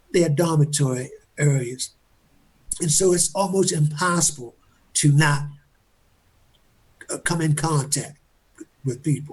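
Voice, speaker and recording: Fairly slow, somewhat breathy speech with fairly even intonation and long, frequent pauses. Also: man, fairly high pitch for a man. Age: 70s. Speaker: exoneree. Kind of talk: panel discussion. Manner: halting.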